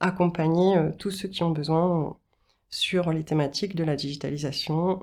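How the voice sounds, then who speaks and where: This woman talks at a moderate pace in a fairly low register. Her intonation stays fairly even. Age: 40s. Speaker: business founder and training consultant. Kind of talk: interview monologue. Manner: hesitant, many filler sounds.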